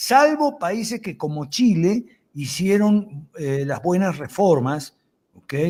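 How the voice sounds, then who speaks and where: Very wide pitch swings mark this voice on a very clean recording with a silent background. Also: man. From Argentina. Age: 70s. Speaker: lawyer and political commentator. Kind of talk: interview.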